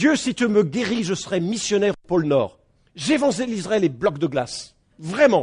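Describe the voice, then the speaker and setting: Animated in tone, the speaker's pitch swings very widely. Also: man, high pitch for a man, moderate pace. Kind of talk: sermon. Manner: animated, rhetorical.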